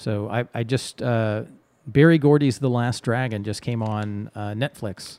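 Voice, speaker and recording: An ordinary speaking voice from a man with an American accent, medium in pitch, at a fairly slow pace with fairly even intonation. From Texas. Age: 40s. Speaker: improv comedian and theater director. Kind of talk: casual chat.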